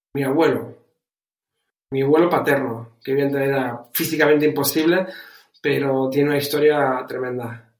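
Pausing long and often, a man with a Canarian accent speaks at a moderate pace and fairly high pitch, his intonation fairly even, with audible room echo. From Canary Islands, Spain. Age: 40s. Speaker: entrepreneur. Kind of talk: interview. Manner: halting, repeats words.

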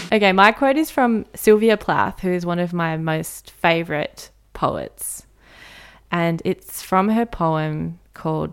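Recorded very cleanly against a silent background, a woman speaks in a fairly low voice with ordinary pitch variation. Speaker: podcast co-host. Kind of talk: casual chat. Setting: home bedroom recording. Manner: occasionally mispronounces words when tired.

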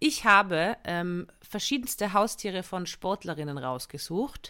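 A woman's bright, sharp voice with lively intonation, in a very clean recording over a silent background. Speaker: comedian and podcast co-host. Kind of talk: casual chat.

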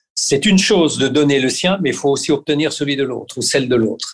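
The background is quiet, and the voice shows ordinary pitch variation. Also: man. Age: 60s. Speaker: fitness coach for athletes. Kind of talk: interview. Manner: hesitant with repeated words.

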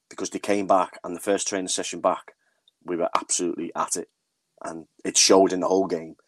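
A man speaks with a Liverpool accent. The sound is dry and close, with no echo. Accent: sounds like a Liverpool speaker. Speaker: women's football manager. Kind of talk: casual interview.

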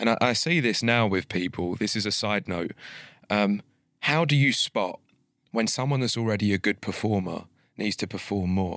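A man speaks in a normal speaking voice, fairly low in pitch with ordinary pitch variation. The recording is very clean with a silent background, and the sound is dry and close with no echo. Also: moderate pace. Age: 30s. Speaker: entrepreneur. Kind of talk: casual interview chat. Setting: studio.

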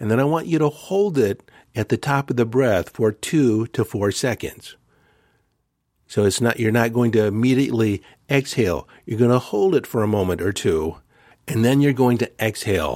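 A man with a plain, everyday voice speaks at a moderate pace and medium pitch, with lively intonation and very even loudness, on a very clean, dry, close recording with a silent background and no echo. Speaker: spiritual coach and podcast host. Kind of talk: guided meditation.

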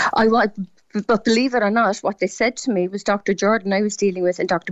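A woman with a Cork accent and a medium pitch, at a fairly quick pace with fairly even intonation. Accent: Cork Irish. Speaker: patient sharing illness experience. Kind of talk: radio phone-in testimony. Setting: phone call.

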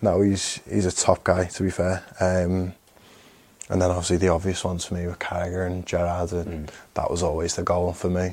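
A man with a Liverpool accent talks at a fairly quick pace. His very deep, low voice stays in a monotone, flat intonation. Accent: Scouse. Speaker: professional footballer. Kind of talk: casual chat.

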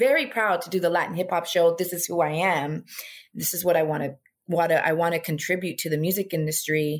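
With an American accent, a woman talks at a moderate pace in an ordinary speaking voice, pitched fairly low. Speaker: music manager and former radio host. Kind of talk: interview.

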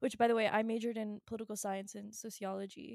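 In an American accent, a woman speaks at a moderate pace with a fairly high pitch, a dark, mellow tone and monotone, flat intonation, the sound dry and close with no echo. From Virginia, US. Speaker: podcast co-host. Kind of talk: casual chat. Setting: home studio, hosts sitting apart. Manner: casual, lots of laughing and fillers.

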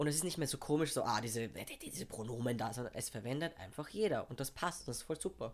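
Very fast speech with lively intonation runs along with hardly any pauses. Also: man, medium pitch for a man. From Austria, Vienna. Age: 20s. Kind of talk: casual chat.

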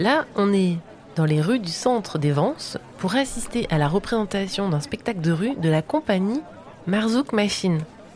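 Woman of medium pitch with lively intonation and a fairly slow pace, against noticeable background noise. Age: 30s. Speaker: podcast host and reporter. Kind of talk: on-site audio documentary with interviews. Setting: outdoors at a festival.

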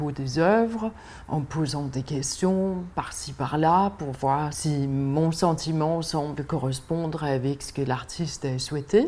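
In a Danish accent, a woman speaks at a very slow pace with a very deep, low pitch. Her pitch variation is ordinary. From Denmark. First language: Danish (speaking French). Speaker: art gallery owner. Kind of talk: casual interview. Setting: outdoors on a riverside barge.

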